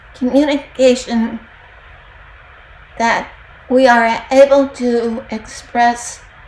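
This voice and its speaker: Over noticeable background noise, a woman's high voice moves at a very slow pace with monotone, flat intonation and long, frequent pauses. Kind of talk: devotional talk.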